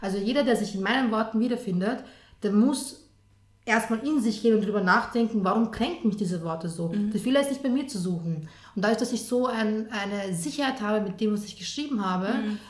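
In a room with audible echo, a woman with a fairly high pitch speaks at a very fast pace. Her voice is somewhat breathy, with ordinary pitch variation. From Austria, Lower Austria. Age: 20s. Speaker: journalist and columnist. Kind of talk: interview.

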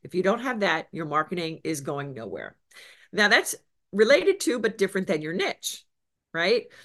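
A woman's medium-pitched voice at a moderate pace, with very wide pitch swings and big swings in loudness, over a quiet background. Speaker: business coach. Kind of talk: interview. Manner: animated.

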